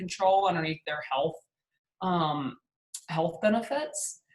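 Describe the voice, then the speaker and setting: With a Southern US accent, a woman talks at a moderate pace in a fairly low pitch. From US South, Hattiesburg, Mississippi. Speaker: PR agency founder and speaker. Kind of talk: webinar presentation. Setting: video call. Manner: casual, filler-heavy.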